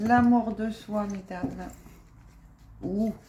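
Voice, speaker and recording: Soft-spoken and very slow, a woman talks at a medium pitch over noticeable background noise. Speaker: spiritual card reader. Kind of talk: card reading chat.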